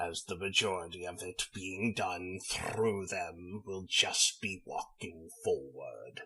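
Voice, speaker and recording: A put-on character voice moves at a fairly slow pace with hardly any pauses. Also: man, very deep, low pitch for a man. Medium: audio drama. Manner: formal, measured.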